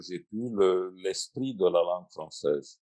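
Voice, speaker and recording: Very slow speech from a man, with ordinary pitch variation. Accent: Russian. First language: Russian (speaking French). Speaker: translator and writer. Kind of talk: panel discussion. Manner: halting.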